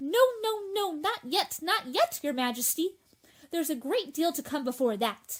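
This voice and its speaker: A put-on character voice, high-pitched and at a moderate pace. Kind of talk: court herald proclamation. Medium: audio drama. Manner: fussy, formal.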